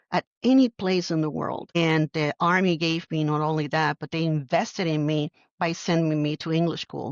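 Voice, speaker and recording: In a Puerto Rican accent, a woman with a fairly low voice speaks at a moderate pace. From Puerto Rico. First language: Spanish. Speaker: army general. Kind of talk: interview.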